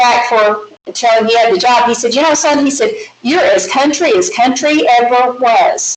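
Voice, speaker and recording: Speech runs on with hardly any pauses and shows ordinary pitch variation. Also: woman. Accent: slight Southern. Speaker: math teacher. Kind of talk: lecture.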